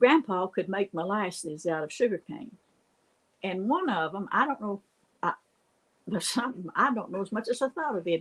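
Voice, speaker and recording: A woman with an Appalachian accent at medium pitch and moderate pace, with long, frequent pauses and a dry, close sound with no echo. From US Appalachia. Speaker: storyteller. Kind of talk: casual storytelling.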